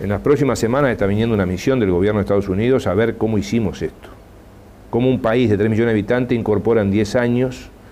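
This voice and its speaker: A man talks at a very fast pace in a fairly low voice, his loudness very even and his pitch varying in an ordinary way, over light background noise. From Uruguay. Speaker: social security agency head. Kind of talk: TV interview. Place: studio. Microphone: lapel.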